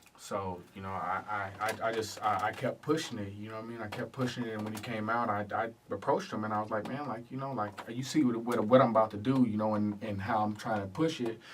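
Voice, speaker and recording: A man talks in a fairly low pitch with fairly even intonation and hardly any pauses, over noticeable background noise. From Oceanside, California, partly raised in Louisiana. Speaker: rapper. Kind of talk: radio interview. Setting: radio studio. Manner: halting, repeats words.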